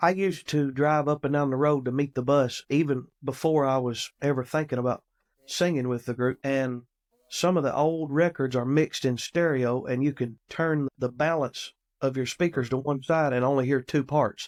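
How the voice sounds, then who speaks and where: A man with an American accent speaks at a moderate pace in a fairly high pitch, his intonation fairly even and his loudness very even, captured with a dry, close sound with no echo. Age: 30s. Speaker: gospel musician. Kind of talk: interview. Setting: podcast.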